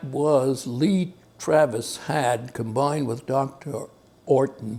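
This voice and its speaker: Music plays in the background. The speech is very slow, with fairly even intonation. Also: man. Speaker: stuttering expert. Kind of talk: interview.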